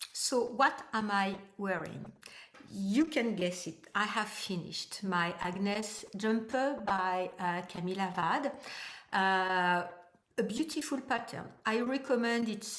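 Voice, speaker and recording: A woman speaks very slowly in a French accent. Her pitch is medium, with ordinary variation. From France. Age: 60s. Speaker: knitting vlogger. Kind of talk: casual vlog talk. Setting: at home. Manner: halting, many hesitations.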